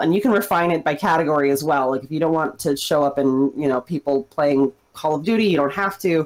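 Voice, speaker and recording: Here a woman speaks in a plain, everyday voice. It sits fairly low in pitch, with ordinary variation. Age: 30s. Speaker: chef and streamer. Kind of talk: casual interview.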